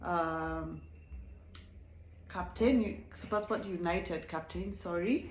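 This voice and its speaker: A woman with a non-native accent speaks at a fairly slow pace. Audible room echo surrounds her voice. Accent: non-South African accent, self-noted. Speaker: reality TV reviewer, YouTuber. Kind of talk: casual show review. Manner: animated.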